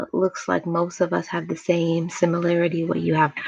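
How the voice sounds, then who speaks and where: Soft-spoken and in an American accent, a woman talks at a medium pitch and a fairly slow pace with music in the background. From New York, Jamaican family. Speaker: motivational YouTuber. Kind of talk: livestream chat, personal testimony. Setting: livestream.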